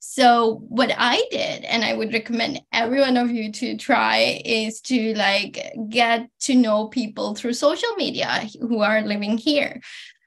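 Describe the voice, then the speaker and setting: A woman's fairly high-pitched voice, an ordinary speaking voice, at a fairly slow pace with hardly any pauses. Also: fairly even intonation. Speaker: PhD student; webinar panelist. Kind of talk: panel discussion. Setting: video call. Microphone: video call.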